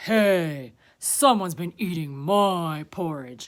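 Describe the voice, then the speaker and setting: A put-on character voice at a middle pitch and a very slow pace, on a very clean recording with a silent background. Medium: read story.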